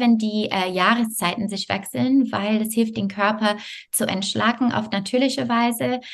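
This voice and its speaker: Fairly high-pitched woman's voice at a moderate pace, with ordinary pitch variation. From Canada, Montreal. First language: not German (speaking German). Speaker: yoga teacher and health coach. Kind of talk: interview.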